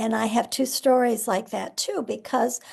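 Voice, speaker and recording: Someone with an American accent speaks at a fairly slow pace, with vocal fry. The background is quiet. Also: woman. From US Midwest, Nebraska. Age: 70s. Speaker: author. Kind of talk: interview. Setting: live video stream.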